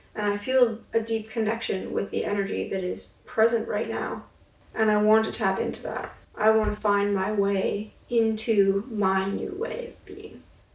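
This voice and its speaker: Over noticeable background noise, a woman speaks at a fairly slow pace in a fairly high pitch with monotone, flat intonation. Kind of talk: casual talk to camera, video-diary self-reflection. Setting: indoors, basement apartment. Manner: slow, reflective, contemplative.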